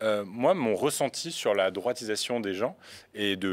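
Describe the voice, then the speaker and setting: A man speaks at a fairly slow pace. His pitch is fairly low. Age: 20s. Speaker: youtuber, news video creator. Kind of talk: casual chat. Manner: halting. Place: studio. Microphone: studio mic.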